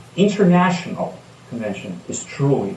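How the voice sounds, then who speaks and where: A man with a non-native accent speaks with very wide pitch swings. Noticeable background noise and audible room echo fill the recording. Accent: foreign. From outside the United States. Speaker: recovering alcoholic speaker. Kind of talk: testimony.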